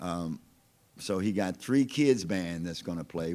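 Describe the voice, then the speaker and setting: A man speaks at a fairly slow pace with a very deep, low pitch. His tone is dark and mellow. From Louisiana, West Baton Rouge Parish. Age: 60s. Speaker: blues musician. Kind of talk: interview conversation. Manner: relaxed, casual.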